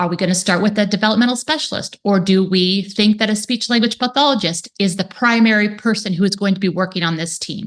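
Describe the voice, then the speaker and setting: A woman talks at a very fast pace with hardly any pauses. Her medium pitch shows ordinary variation. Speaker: speech therapist. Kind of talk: webinar presentation.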